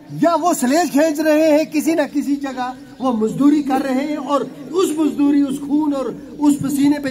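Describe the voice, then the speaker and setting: Crowd noise and audible room echo fill the background. A man speaks at an extremely high pitch. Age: 50s. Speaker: politician. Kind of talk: public speech. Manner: impassioned.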